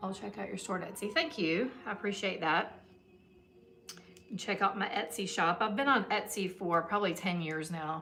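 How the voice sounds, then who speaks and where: Amid audible room echo, a woman with a Southern US accent speaks at a medium pitch and moderate pace with ordinary pitch variation. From US South, Georgia. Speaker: soap maker, small business owner. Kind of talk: casual livestream chat while working. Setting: her shop, live stream. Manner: casual, with fillers and hesitations.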